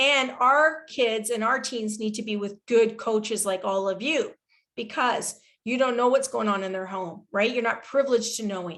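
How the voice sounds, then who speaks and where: A woman with a Canadian accent speaks at a moderate pace in a fairly high pitch. Hers is an unremarkable speaking voice with ordinary pitch variation. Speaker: psychologist and researcher. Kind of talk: webinar Q&A answer.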